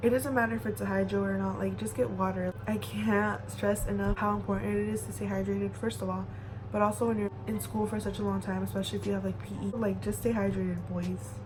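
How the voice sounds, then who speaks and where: A woman with a very deep, low pitch speaks very fast in monotone, flat intonation with hardly any pauses, amid noticeable background noise and audible room echo. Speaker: youtuber giving school advice. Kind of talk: casual vlog advice. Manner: casual, filler-heavy speech.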